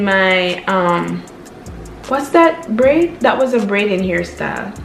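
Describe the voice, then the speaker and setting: With music in the background, a woman with a Jamaican accent talks in an upbeat tone at a very slow pace, her pitch swinging very widely. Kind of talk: casual talk to camera.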